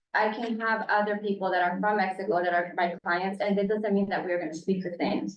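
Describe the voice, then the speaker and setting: A woman speaks with a Spanish accent. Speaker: case manager for parent clients. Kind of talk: panel discussion. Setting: public commission meeting.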